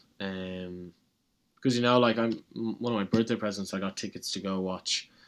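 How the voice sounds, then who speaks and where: A man talks at a fairly quick pace with an Irish accent. His pitch is fairly low, and the recording is very clean with a silent background. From Ireland. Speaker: college tennis player. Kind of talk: casual interview.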